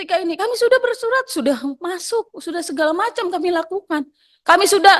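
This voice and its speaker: A woman with a North Sumatran accent speaks at an extremely high pitch and a fairly quick pace, with ordinary pitch variation. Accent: Batak intonation. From Batak, North Sumatra, Indonesia. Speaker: workers' union representative. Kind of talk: public hearing testimony. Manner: loud, emotional.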